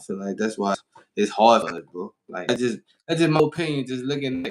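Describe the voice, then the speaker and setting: Medium in pitch, a man talks at a fairly quick pace with lively intonation. The sound is dry and close with no echo. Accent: American. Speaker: podcast host. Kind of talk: casual interview.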